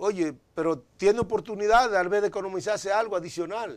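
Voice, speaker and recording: The man talks at a moderate pace. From Dominican Republic. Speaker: politician. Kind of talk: interview. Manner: halting. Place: studio. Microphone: lapel.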